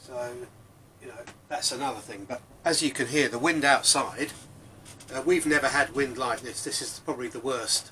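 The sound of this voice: A man's medium-pitched voice, bright and sharp in tone, at a moderate pace with ordinary pitch variation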